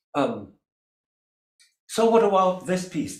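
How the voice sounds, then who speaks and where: A man talks in a high voice, with room echo clearly audible. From Germany. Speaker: cellist. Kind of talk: casual chat. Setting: video call.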